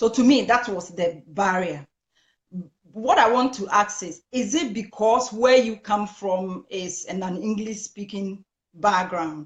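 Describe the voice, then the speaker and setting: At a very slow pace, a woman with a Ghanaian accent speaks at a medium pitch, somewhat breathy, with ordinary pitch variation. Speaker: talk show host. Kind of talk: interview. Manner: halting.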